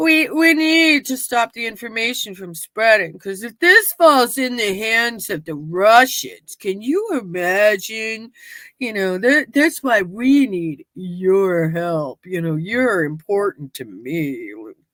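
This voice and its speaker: A female-sounding, fairly high put-on character voice moves at a fairly slow pace with hardly any pauses, on a very clean recording with a silent background. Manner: smug, self-important.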